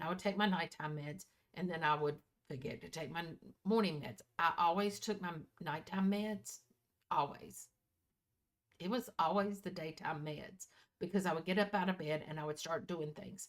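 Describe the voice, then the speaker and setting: A woman with a fairly low voice speaks at a moderate pace with ordinary pitch variation. She leaves long, frequent pauses. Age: 60s. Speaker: planner youtuber. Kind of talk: casual vlog talk. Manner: chatty, self-correcting.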